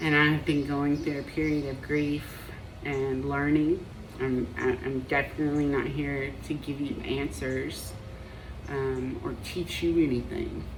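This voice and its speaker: A woman with a very deep, low pitch speaks slowly in a monotone, flat intonation. Noticeable background noise and audible room echo are present. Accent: slight Southern US. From Appalachia, US. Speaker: marriage and family therapist. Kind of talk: personal vlog monologue. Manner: hesitant, many fillers.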